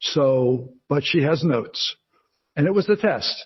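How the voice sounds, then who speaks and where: Lively intonation carries this voice with a New Jersey accent. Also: man. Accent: New Jersey American. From New Jersey, US. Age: 60s. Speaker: memoir author and retired actor. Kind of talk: interview. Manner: halting, many fillers and restarts.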